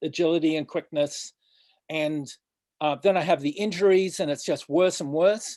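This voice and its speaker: A man speaks at a moderate pace and a fairly high pitch, in an American accent with ordinary pitch variation. The sound is dry and close with no echo, against a quiet background. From Australia. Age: 60s. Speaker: pro surfer and surf coach. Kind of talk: interview. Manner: halting, with repetitions and fillers.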